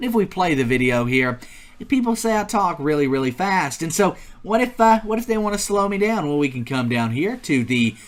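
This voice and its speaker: A man talks at a very fast pace with very wide pitch swings. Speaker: YouTube tutorial host. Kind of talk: tutorial. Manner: energetic.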